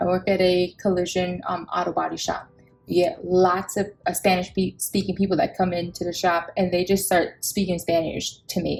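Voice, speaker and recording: A woman talks at a moderate pace with a Samoan accent. Her medium-pitched voice is somewhat breathy. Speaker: budgeting vlogger. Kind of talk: casual chat. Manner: animated.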